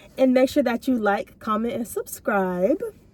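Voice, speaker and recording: Intonation is lively and the pace is moderate. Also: woman. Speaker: vlogger. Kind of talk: casual chat. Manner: soft-spoken.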